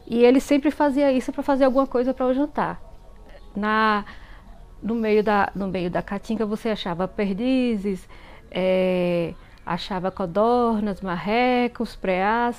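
Someone speaks at a fairly slow pace with ordinary pitch variation while music plays in the background. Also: woman, fairly high pitch for a woman. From Bahia, Brazil (interior, semi-arid). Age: 40s. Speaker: listener sharing a story. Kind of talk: personal storytelling. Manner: halting, many fillers and repetitions.

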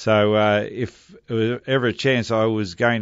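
A man with an Australian accent, fairly low in pitch, with monotone, flat intonation. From Melbourne, Australia. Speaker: former Australian football player. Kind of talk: interview.

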